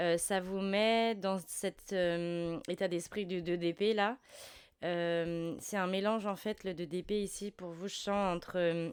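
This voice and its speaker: In a very clean recording with a silent background, a woman at a medium pitch speaks at a very slow pace. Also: fairly even intonation. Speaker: tarot reader. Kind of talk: tarot reading. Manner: halting, many fillers.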